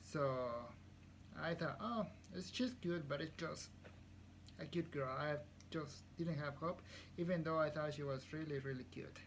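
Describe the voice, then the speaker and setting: A man with a fairly high pitch sounds somewhat breathy, leaving long, frequent pauses. Room echo is audible. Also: ordinary pitch variation, moderate pace. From Guatemala. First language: Spanish. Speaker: CNC programmer. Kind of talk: casual chat.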